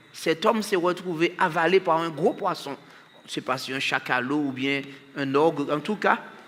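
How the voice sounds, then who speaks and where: A man with high pitch speaks at a fairly slow pace and ordinary pitch variation over noticeable background noise. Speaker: preacher. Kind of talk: sermon.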